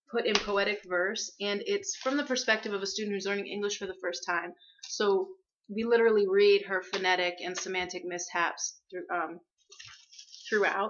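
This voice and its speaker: Medium pitch, fairly even intonation and a moderate pace from a woman with an ordinary speaking voice. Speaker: student teacher presenting a book collection. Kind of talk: class presentation.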